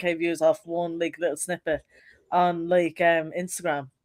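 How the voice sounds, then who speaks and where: This woman speaks in a Dublin accent. Her pace is moderate. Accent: Dublin Irish. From Ireland, Dublin (Finglas). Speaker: rapper. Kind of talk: casual interview. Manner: casual, heavy use of like.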